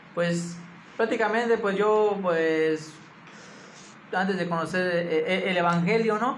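Very slowly, a high-pitched man speaks with ordinary pitch variation amid audible room echo. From Mexico, Campeche. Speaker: church leader. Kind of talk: interview, personal testimony. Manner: halting, many repetitions.

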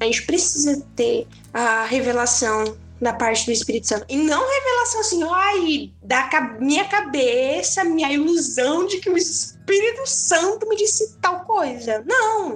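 A woman with a high voice speaks at a fairly slow pace, her pitch swinging very widely while her loudness stays very even, over noticeable background noise. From southern Brazil, Tubarão, Santa Catarina. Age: 20s. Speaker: podcast guest, young churchgoer. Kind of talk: casual chat about faith.

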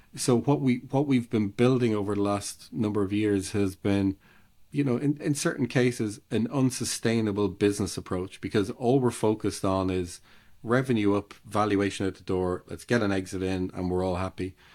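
A man's dark, mellow voice, fairly low in pitch, with an Irish accent, a moderate pace and ordinary pitch variation, in a very clean recording with a silent background. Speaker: ecommerce consultant. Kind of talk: casual interview.

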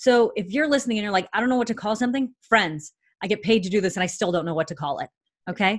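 Fairly high in pitch, a woman talks at a very fast pace with lively intonation and an animated tone. Her voice is somewhat breathy, captured in a very clean recording with a silent background. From Canada. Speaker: professional speaker and marketing consultant. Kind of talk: interview.

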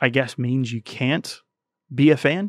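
In a Tennessee accent with fairly even intonation, the speaker goes at a moderate pace over a quiet background. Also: man. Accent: Southern US (Tennessee). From US South, rural Tennessee. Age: 30s. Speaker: YouTube channel co-founder. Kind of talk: casual interview. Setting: studio.

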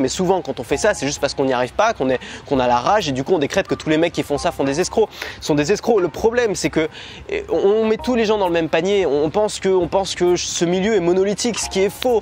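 Over noticeable background noise, a high-pitched man talks at a very fast pace with lively intonation. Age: 20s. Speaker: online business YouTuber. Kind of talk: vlog-style sales pitch. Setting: hotel room. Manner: casual, hesitant with fillers.

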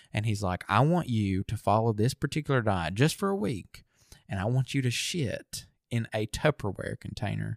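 In a very clean recording with a silent background and a dry, close sound with no echo, a man speaks at a moderate pace with a fairly low pitch and lively intonation. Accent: Southern US. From US South. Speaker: podcast co-host. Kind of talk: casual chat.

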